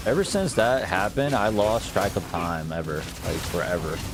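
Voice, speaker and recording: A man with an American accent speaks in a relaxed tone at a fairly low pitch, his intonation lively, with music in the background and audible room echo. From US, Bosnian family. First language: Bosnian. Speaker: video game streamer. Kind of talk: casual live-stream chat. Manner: relaxed, chatty.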